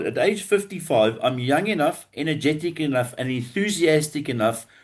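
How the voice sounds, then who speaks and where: In a quiet background, a man talks fairly quickly with a fairly high pitch and lively intonation in an ordinary speaking voice. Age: 60s. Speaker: business funding advisor, former banker. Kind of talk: podcast interview.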